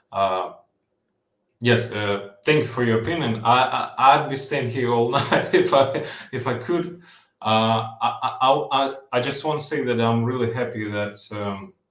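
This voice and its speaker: Audible room echo hangs around a man who speaks at a fairly slow pace with ordinary pitch variation. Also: medium pitch for a man. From Ukraine. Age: 20s. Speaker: caller. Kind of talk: casual chat. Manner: halting, many fillers and repeats.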